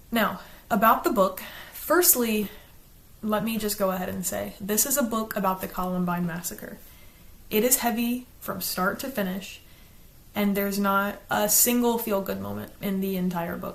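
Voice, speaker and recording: A woman speaks at a moderate pace with an American accent, her medium pitch showing ordinary variation. Room echo can be heard. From US South, South Carolina. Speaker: book reviewer, YouTuber. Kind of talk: casual chat, partly reading from a script.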